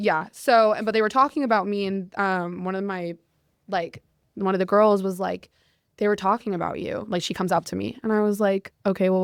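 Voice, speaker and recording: Here a woman talks with an American accent at medium pitch and a moderate pace. The recording is very clean, with a silent background. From Utah, US. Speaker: podcast guest, performer. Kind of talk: casual chat, storytelling. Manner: loud; animated.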